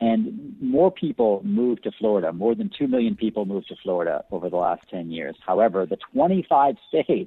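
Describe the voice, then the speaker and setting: With an American accent, a man speaks in a normal speaking voice at a medium pitch, at a moderate pace with lively intonation. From Buffalo, New York. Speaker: former diplomat and author. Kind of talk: interview.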